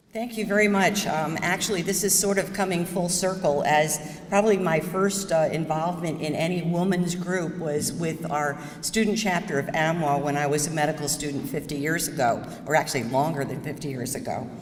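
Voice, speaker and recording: Speaking in a New York State accent, a woman with a fairly low pitch and ordinary pitch variation talks at a fairly quick pace with hardly any pauses, amid audible room echo and noticeable background noise. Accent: American (New York State). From upstate New York, US. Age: 70s. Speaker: surgeon. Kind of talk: talk to audience.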